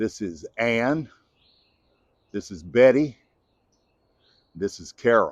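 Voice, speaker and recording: In a relaxed tone, a man with a Southern US accent speaks at a medium pitch. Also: dry, close sound with no echo. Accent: Southern American. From Southern United States. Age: 70s. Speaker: gardener. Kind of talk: casual gardening how-to talk to camera. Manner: relaxed, folksy.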